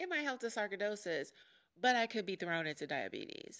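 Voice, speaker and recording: Her medium-pitched voice sounds animated, with lively intonation. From US Midwest (Chicago). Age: 40s. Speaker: podcast host. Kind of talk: personal monologue.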